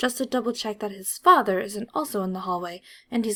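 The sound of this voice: An unforced reading voice moves through the text, its pitch varying in an ordinary way.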